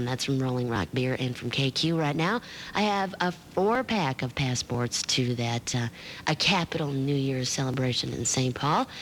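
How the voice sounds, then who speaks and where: A woman with a very deep, low pitch talks at a moderate pace. Her intonation is lively, while her loudness stays very even. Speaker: radio disc jockey. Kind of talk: radio DJ patter. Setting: radio broadcast studio. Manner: casual, friendly.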